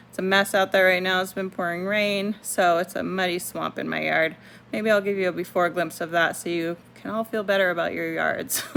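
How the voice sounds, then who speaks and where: A mumbling woman at medium pitch, fairly quick and monotone, flat in intonation, with hardly any pauses. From Puerto Rico. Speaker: homesteading YouTuber. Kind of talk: casual tutorial. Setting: at home.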